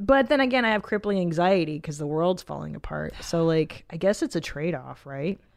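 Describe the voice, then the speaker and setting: In a very clean recording with a silent background, a woman with an unremarkable speaking voice and a fairly low pitch talks at a fairly quick pace with lively intonation and hardly any pauses. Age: 40s. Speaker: podcast host and comedian. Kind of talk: casual chat. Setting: studio.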